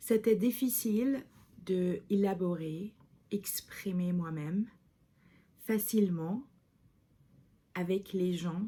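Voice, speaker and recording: A woman's somewhat breathy voice with a dark, mellow tone, medium pitch and ordinary pitch variation. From Lebanon. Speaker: video diarist. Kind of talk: vlog monologue. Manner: halting, many hesitations.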